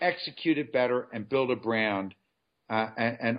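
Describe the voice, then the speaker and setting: A man is speaking. His pace is moderate. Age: 50s. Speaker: CEO of a clothing company, former lawyer. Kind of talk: interview. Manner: halting, many fillers.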